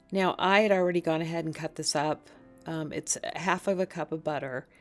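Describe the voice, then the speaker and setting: Music plays behind a woman whose fairly low voice moves at a fairly quick pace with fairly even intonation. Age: 50s. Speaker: cooking vlogger. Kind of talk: tutorial. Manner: casual.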